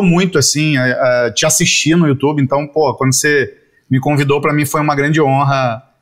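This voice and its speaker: A man with a plain, everyday voice, a fairly high pitch and a moderate pace. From Rio de Janeiro, Brazil (Jacarepaguá). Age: 40s. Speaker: advertising creative director. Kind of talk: casual interview.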